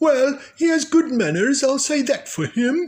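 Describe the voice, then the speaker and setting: A man's put-on character voice, extremely high-pitched, at a fairly slow pace. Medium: read story. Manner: brisk, stern.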